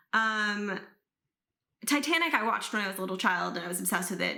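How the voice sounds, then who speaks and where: A woman of medium pitch speaks at a very fast pace, with audible room echo. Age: 20s. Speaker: YouTube reaction creator. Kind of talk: casual Q&A talk to camera. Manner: casual with many fillers.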